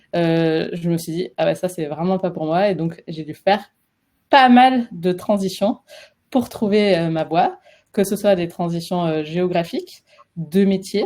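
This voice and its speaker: A woman's fairly low, dark, mellow voice with a southwestern French accent, ordinary pitch variation, and a very slow pace. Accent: sing-song southwestern French. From French Basque Country. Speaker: career transition coach. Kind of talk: webinar presentation. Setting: live webinar. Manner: hesitant, many fillers.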